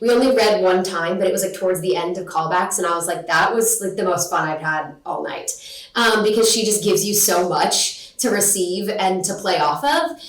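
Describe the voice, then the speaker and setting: Noticeable background noise and audible room echo surround a woman speaking at a medium pitch and fairly quick pace, with ordinary pitch variation. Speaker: actress and graduate acting student. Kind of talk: interview. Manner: loud; animated.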